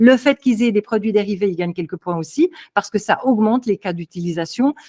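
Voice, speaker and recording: A woman's fairly high, animated voice with lively intonation at a fairly quick pace, in dry, close sound with no echo. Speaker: crypto consultant. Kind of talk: interview.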